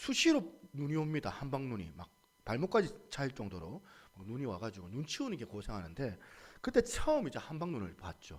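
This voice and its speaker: A man's voice swings very widely in pitch and shows vocal fry as he talks at a moderate pace. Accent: Gyeongsang. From Busan, Gyeongsang region, South Korea. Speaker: pastor. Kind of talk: sermon.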